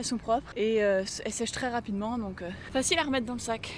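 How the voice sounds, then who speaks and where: A woman at a fairly quick pace, over noticeable background noise. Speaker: travel vlogger. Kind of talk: travel vlog narration. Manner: whispering.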